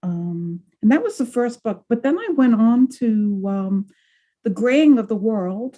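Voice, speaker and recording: A dark, mellow, somewhat breathy voice with lively intonation at a fairly slow pace. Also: woman, fairly high pitch for a woman. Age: 70s. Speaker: retired professor and author on aging policy. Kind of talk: interview. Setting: video call.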